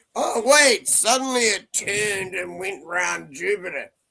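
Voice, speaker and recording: A man's raised, projected voice at a fairly slow pace, with ordinary pitch variation. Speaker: streamer. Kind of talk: casual chat. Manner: slurred.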